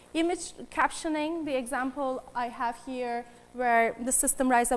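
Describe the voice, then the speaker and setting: Speaking with a non-native accent, a woman has a high pitch and ordinary pitch variation. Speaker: AI researcher. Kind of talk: conference talk. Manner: hesitant with fillers.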